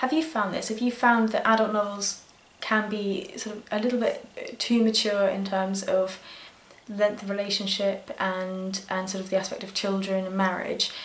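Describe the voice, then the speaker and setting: Speaking with a British accent, a woman holds a medium pitch and fairly even intonation amid audible room echo. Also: moderate pace. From UK. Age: 20s. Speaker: book vlogger. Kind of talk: casual vlog talk. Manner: hesitant, many fillers.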